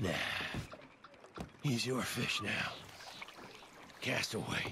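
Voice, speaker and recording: A man puts on a raspy character voice at a medium pitch. He speaks at a very slow pace over clear background noise. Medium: video game. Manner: gruff, wry.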